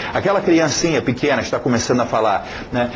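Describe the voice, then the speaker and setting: Male speech carrying audible room echo, along with noticeable background noise. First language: English (speaking Portuguese). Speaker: English teacher. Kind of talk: lecture. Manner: halting.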